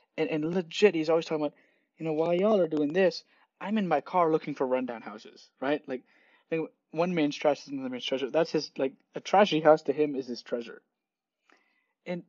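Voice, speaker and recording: Big swings in loudness run through a man's fairly high-pitched voice. He talks at a very fast pace with ordinary pitch variation. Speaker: podcast host. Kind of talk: casual monologue. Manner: rambling, many fillers.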